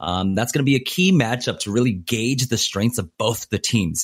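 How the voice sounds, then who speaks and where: A man's voice, an ordinary speaking voice, with ordinary pitch variation at a moderate pace. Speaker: esports analyst. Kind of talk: casual interview.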